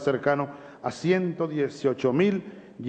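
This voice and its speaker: Background noise can be noticed throughout. A man talks, his pitch varying in an ordinary way. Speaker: head of state. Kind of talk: formal address to parliament.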